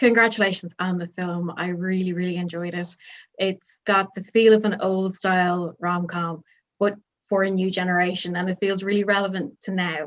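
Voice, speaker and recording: Her intonation monotone and flat, a woman speaks in an Irish accent at a medium pitch. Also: moderate pace. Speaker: film journalist. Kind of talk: press interview.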